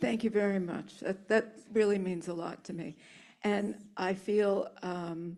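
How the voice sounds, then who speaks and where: Her dark, mellow tone comes with fairly even intonation as the woman speaks. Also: medium pitch for a woman, fairly slow pace. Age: 70s. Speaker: author. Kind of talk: audience Q&A.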